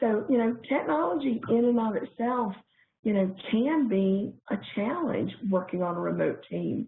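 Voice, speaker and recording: With a Southern US accent, a woman speaks at a fairly slow pace in a fairly high pitch, her intonation lively. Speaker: corporate trainer. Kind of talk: webinar presentation.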